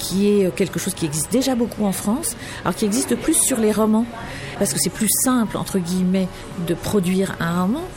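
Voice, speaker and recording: Noticeable background noise accompanies a woman at a medium pitch. She talks fairly quickly with lively intonation. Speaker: magazine editor-in-chief. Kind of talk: interview. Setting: café.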